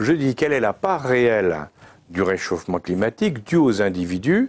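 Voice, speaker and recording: A man's fairly low voice with very wide pitch swings, moderate pace, and a dry, close sound with no echo. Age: 70s. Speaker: former intelligence director. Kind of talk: long-form interview. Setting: live studio interview.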